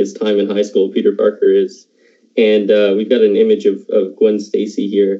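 Speaking at a moderate pace, a man has a Canadian Maritime accent. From Canada, Halifax. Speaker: podcast host, video editor. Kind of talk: casual chat.

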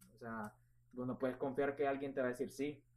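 This is a normal speaking voice, belonging to a man with a fairly high pitch. He talks at a fairly quick pace with fairly even intonation. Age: 20s. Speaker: real estate agent. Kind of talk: interview.

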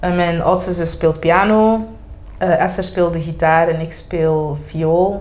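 A woman speaking very slowly with fairly even intonation, amid audible room echo and noticeable background noise. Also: fairly low pitch for a woman. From Belgium, Flanders (Antwerp, Sint-Niklaas). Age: 20s. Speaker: singing contest winner. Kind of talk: casual chat. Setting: coffee bar.

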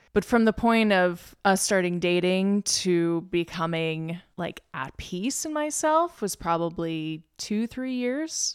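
On a very clean recording with a silent background, a woman with an American accent speaks very slowly with lively intonation and hardly any pauses. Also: medium pitch for a woman. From Lynchburg, Virginia. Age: 20s. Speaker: podcast guest, tech worker. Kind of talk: casual interview chat.

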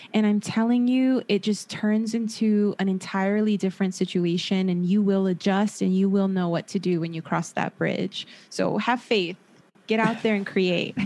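In a Southern California accent, a woman talks with a dark, mellow tone and fairly even intonation over a quiet background. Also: medium pitch for a woman, moderate pace. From Los Angeles, San Fernando Valley. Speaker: therapist and podcaster. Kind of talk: casual interview.

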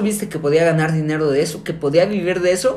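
The voice moves at a fairly quick pace with ordinary pitch variation. Audible room echo and noticeable background noise come through. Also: man. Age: 20s. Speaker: podcast co-host. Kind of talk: casual chat.

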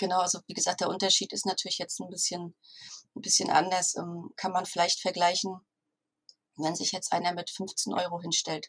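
Speaking at a moderate pace with long, frequent pauses, a woman holds a monotone, flat intonation at medium pitch. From northern Germany, Stralsund. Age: 40s. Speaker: virtual assistant and copywriter. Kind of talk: interview.

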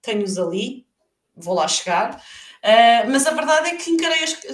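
A woman with a European Portuguese accent speaks in a high pitch. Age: 40s. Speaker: freelance marketer. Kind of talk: live podcast interview.

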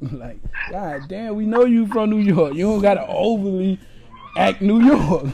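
With an American accent, a man speaks in a dark, mellow tone and ordinary pitch variation. Audible room echo surrounds his voice. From Orlando area, Florida. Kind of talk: casual chat.

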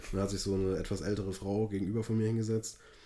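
A man with a fairly low, dark, mellow voice. He sounds somewhat breathy. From Hesse, near Frankfurt. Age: 20s. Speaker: podcast co-host. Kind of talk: casual chat. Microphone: recorded via laptop.

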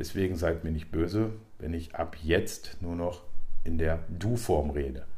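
Amid audible room echo, a man with a very deep, low pitch and a dark, mellow, somewhat breathy tone speaks at a fairly slow pace with ordinary pitch variation. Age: 40s. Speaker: podcast host. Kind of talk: monologue.

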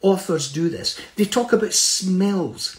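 A man speaks with a Scottish accent. His tone is animated and his intonation lively. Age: 70s. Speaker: motivational speaker. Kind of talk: motivational talk. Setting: video call.

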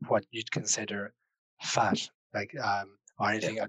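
Heard in a dry, close sound with no echo, a man with a French accent speaks at a moderate pace in a bright, sharp tone. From Switzerland. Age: 20s. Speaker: podcast guest sharing life story. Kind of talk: personal testimony. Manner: hesitant.

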